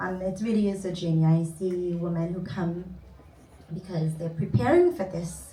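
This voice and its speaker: A woman with a Trinidadian accent speaks at a moderate pace in a fairly low voice with fairly even intonation. Noticeable background noise and audible room echo come through. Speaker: cognitive behavior therapist. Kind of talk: conference panel talk.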